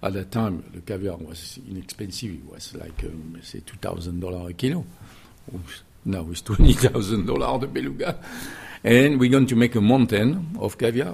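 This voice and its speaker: Somewhat breathy speech in a French accent moves at a fairly slow pace with lively intonation and big swings in loudness. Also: man, fairly low pitch for a man. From southwest France, Millau. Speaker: chef. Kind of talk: interview. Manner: halting.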